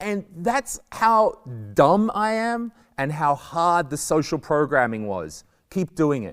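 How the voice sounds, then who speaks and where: A man with an Australian accent speaks loudly and very slowly in a high voice, his pitch swinging very widely, on a very clean recording with a silent background. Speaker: stand-up comedian. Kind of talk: talk to school pupils.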